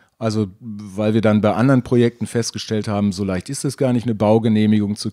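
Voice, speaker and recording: A man talks at a very fast pace with a fairly low pitch and a dark, mellow tone on a very clean recording with a silent background. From Germany, near Dutch border. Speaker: former climbing gym owner. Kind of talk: interview.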